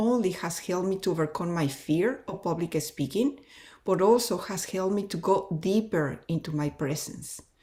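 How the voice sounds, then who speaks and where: A woman with a Spanish accent speaks at a moderate pace in a dark, mellow, somewhat breathy tone. Her pitch swings very widely. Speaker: consultant. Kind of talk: testimonial.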